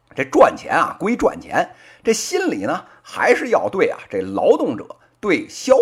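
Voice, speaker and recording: In a strong Beijing accent, a man speaks at a fairly slow pace with an animated tone and big swings in loudness. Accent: strong Beijing accent with heavy erhua. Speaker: podcast host, business commentator. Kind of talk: opinion commentary. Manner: animated, colloquial Beijing storytelling.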